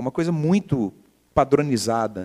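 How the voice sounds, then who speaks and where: A fairly high-pitched man with lively intonation at a moderate pace, in a dry, close sound with no echo. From Brazil, Minas Gerais (Belo Horizonte). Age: 40s. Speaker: entrepreneur. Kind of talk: interview. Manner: halting.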